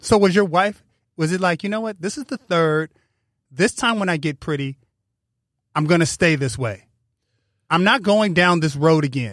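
The speech moves at a moderate pace with long, frequent pauses and lively intonation, in a very clean recording with a silent background and a dry, close sound with no echo. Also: man, high pitch for a man. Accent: American. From Pasadena, California. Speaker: podcast host. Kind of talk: interview. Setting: studio.

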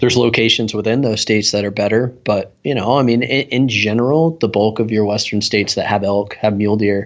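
In an ordinary speaking voice with an American accent, a man at a fairly low pitch talks at a fairly quick pace, with ordinary pitch variation and very even loudness. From US South, South Carolina. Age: 30s. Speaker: boot company sales rep. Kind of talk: podcast interview. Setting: phone call.

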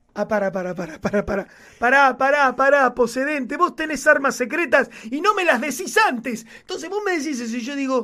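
Raised and projected, a man's extremely high-pitched voice moves at a fairly quick pace with lively intonation. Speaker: podcast co-host. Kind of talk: casual chat. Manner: animated.

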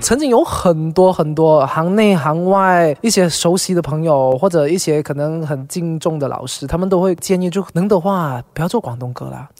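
Speaking in a Cantonese accent, a man with a high pitch and ordinary pitch variation moves at a moderate pace with hardly any pauses. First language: Cantonese (speaking Chinese). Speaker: singer. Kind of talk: casual chat.

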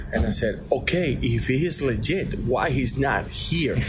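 Over background music, a man talks in a mid-range pitch. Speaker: baseball third base coach. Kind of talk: radio interview. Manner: halting, repeating words.

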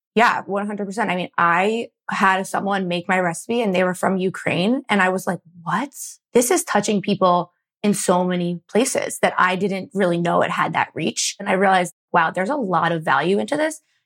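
With an American accent, a woman with a plain, everyday voice speaks at a moderate pace and medium pitch, with ordinary pitch variation, in a dry, close sound with no echo. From Philadelphia suburbs, US. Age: 20s. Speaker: food blogger and entrepreneur. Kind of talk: casual interview.

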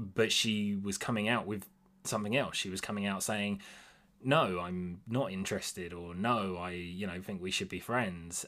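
In a normal speaking voice, a man talks at a fairly low pitch. His intonation is fairly even and his pace moderate. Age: 20s. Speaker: host's boyfriend. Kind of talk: casual chat.

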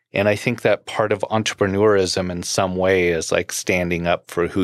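In a very clean recording with a silent background, a man with an American accent speaks at a moderate pace in a very deep, low voice. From US West Coast (Southern California). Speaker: beverage company founder. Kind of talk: interview.

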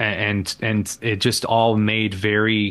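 A man with an American accent speaks at a fairly low pitch in a bright, sharp tone over a quiet background. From Indiana, rural. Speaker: radio host and columnist. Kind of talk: casual interview chat. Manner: halting, many fillers.

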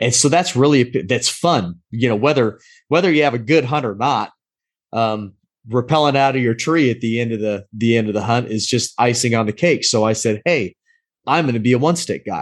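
Using an ordinary speaking voice, a man with an American accent talks at a moderate pace and medium pitch with ordinary pitch variation against a quiet background. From US Pacific Northwest. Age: 40s. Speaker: navy veteran, amputee and outdoor blogger. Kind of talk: casual chat.

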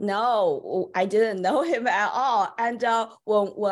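This woman speaks with a Chinese accent and ordinary pitch variation. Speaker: children's book author and publisher. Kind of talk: interview. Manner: halting.

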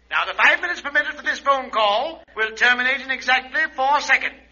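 In a put-on character voice, a man talks at an extremely high pitch with a bright, sharp tone. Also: ordinary pitch variation, fairly quick pace.

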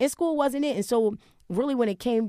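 A woman speaks at a very fast pace. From Wilmington, Delaware. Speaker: TV host and media personality. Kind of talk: casual interview chat.

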